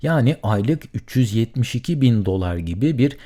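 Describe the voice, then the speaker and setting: In a very clean recording with a silent background, a man with a dark, mellow tone speaks with very wide pitch swings. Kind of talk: solo podcast monologue. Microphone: studio condenser mic with pop filter.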